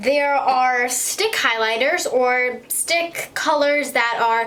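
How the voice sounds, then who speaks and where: A woman talks at a high pitch with audible room echo. Noticeable background noise is present. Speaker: beauty vlogger. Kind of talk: makeup tutorial. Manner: slurred speech; casual, hesitant with ums.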